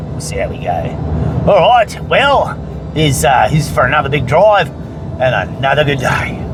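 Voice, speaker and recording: A man with an Australian accent, heard with noticeable background noise and audible room echo. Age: 60s. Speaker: gold prospecting vlogger. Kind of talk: casual vlog and tutorial. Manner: casual, halting with fillers.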